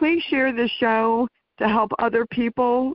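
An unremarkable speaking voice from a woman, fairly high in pitch and fairly slow. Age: 60s. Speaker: radio talk show host. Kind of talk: interview.

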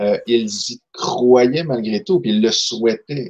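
In a normal speaking voice, a man talks at a fairly slow pace and a medium pitch. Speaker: novelist, poet and social worker. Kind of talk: casual chat.

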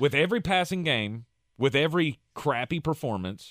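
Delivered at a moderate pace with lively intonation, this unremarkable speaking voice has a dry, close sound with no echo. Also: man. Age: 40s. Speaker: sports radio host. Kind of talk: casual sports talk. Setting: radio studio.

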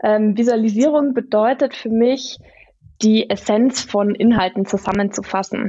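An ordinary speaking voice, fairly even in intonation, at a fairly slow pace. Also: woman. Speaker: visual facilitator / illustrator. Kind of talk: podcast interview. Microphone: good sound quality.

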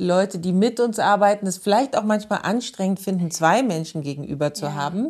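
Against a quiet background, a woman with an ordinary speaking voice talks at a medium pitch with ordinary pitch variation. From Munich, Bavaria. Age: 40s. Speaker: theatre director and actress. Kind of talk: interview.

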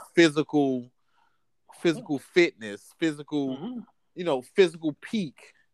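Fairly high male speech at a fairly slow pace, with very wide pitch swings and a dry, close sound with no echo. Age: 30s. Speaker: podcast co-host. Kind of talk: casual chat.

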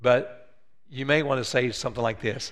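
With an American accent and a medium pitch, a man speaks at a fairly quick pace in a bright, sharp tone, with audible room echo. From West Virginia. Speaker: pastor. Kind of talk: sermon; role-play demonstration. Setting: church.

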